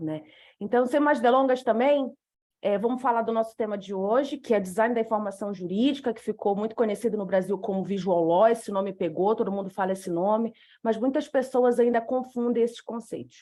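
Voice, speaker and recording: A fairly high-pitched woman's voice with a dark, mellow tone, a fairly quick pace, and a northern Brazilian accent. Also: ordinary pitch variation. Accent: northern Brazilian, dragged R and hissing S. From northern Brazil, Macapá, Amapá. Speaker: lawyer and speaker on legal design. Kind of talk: lecture presentation.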